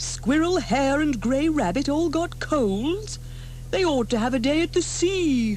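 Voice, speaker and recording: A woman uses a put-on character voice. She speaks at a fairly slow pace over clear background noise. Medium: read story. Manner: sing-song, rhyming.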